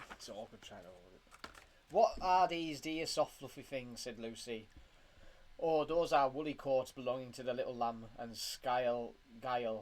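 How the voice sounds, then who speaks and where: Medium-pitched male speech with a British accent, at a moderate pace, with ordinary pitch variation and big swings in loudness. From UK. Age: 20s. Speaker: father reading to his child. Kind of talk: reading aloud.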